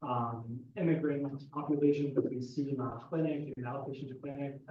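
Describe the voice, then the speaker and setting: Flat, monotone intonation marks this man's fairly high, somewhat breathy voice at a moderate pace. There is audible room echo. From Egypt. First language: Arabic. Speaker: psychiatrist. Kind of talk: audience question at lecture.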